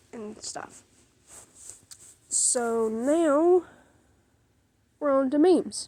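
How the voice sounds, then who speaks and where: A woman with a Southern US accent speaks in a dark, mellow tone. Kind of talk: casual talk to camera. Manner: talkative.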